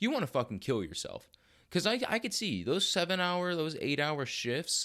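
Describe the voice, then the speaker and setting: This man has an animated tone and very wide pitch swings. The recording is very clean, with a silent background. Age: 18. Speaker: fitness podcast host. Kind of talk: casual solo monologue.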